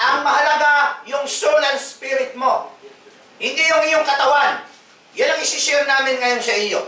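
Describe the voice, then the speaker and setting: Raising and projecting his extremely high-pitched voice, a man calls out over noticeable background noise and audible room echo. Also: ordinary pitch variation, moderate pace. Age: 60s. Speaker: pastor. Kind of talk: evangelistic sharing with sick person. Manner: repetitive.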